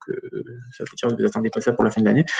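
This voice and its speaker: This is a man's voice. His pitch is medium. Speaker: data protection regulator expert. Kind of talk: webinar Q&A. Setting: online webinar. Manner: halting, many fillers.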